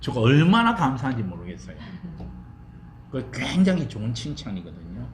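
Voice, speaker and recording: Amid noticeable background noise and audible room echo, a man speaks at a moderate pace with long, frequent pauses. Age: 70s. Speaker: seminary professor. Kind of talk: lecture. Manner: casual, chatty.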